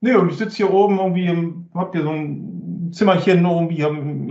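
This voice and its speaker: Using a plain, everyday voice, a man talks at a moderate pace with ordinary pitch variation. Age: 40s. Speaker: business applications expert. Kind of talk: casual chat.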